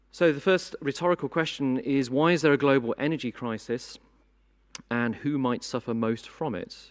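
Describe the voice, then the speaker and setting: A man with a British accent and ordinary pitch variation, in a very clean recording with a silent background. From Britain. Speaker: conference moderator. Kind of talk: conference opening speech. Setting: conference hall with audience.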